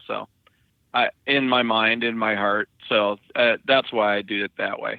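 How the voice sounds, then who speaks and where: Speaking fairly slowly, a man with an American accent has a medium-pitched voice and monotone, flat intonation. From Dakotas, US Upper Midwest. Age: 60s. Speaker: truck driver. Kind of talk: casual interview. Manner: halting.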